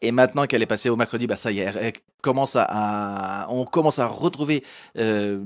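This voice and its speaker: A man with a Portuguese accent at a fairly quick pace, ordinary pitch variation, quiet background. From France, Portuguese immigrant family. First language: Portuguese (speaking French). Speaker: comedian and show host; show host, comedian. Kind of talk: live-streamed talk show interview. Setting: live stream on Facebook and Instagram. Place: studio. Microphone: handheld.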